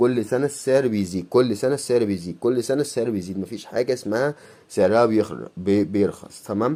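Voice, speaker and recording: On a very clean recording with a silent background, a man with a dark, mellow tone talks at a fairly quick pace with ordinary pitch variation and hardly any pauses. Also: medium pitch for a man. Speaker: YouTuber, coin collector. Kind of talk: casual vlog monologue. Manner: fast.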